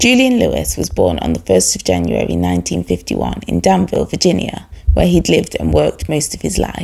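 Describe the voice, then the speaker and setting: A woman speaks at a moderate pace. She leaves hardly any pauses. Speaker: true crime video creator and baker. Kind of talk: true-crime narration. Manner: measured, storytelling tone, fairly formal.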